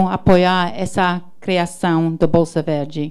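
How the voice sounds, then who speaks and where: At a very slow pace, a woman talks with an English accent. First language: English (speaking Portuguese). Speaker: diplomat, consul general. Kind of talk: prepared ceremony speech. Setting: launch ceremony with audience, livestreamed. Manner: halting, stumbles on words.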